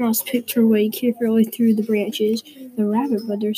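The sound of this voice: Here the text is read in an unforced voice.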